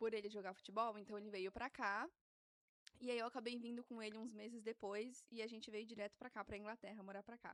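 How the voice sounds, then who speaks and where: In a dry, close sound with no echo, a woman with a fairly high pitch speaks at a fairly quick pace in a monotone, flat way. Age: 20s. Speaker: guest mother sharing birth story. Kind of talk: casual interview chat. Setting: studio.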